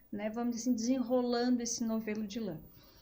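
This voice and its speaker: The woman speaking has a high-pitched voice. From Brazil, Rio Grande do Sul (Gravataí). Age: 40s. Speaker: psychologist. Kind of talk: podcast interview.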